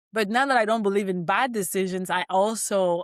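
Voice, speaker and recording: A woman with a French accent speaks fairly quickly in an animated tone, at medium pitch with ordinary pitch variation. The recording is very clean, with a silent background and a dry, close sound without echo. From Cameroon (French-speaking part). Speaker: financial coach. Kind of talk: motivational talk.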